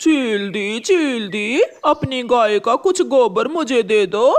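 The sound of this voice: A cartoonish character voice at a fairly high pitch moves along at a fairly slow pace.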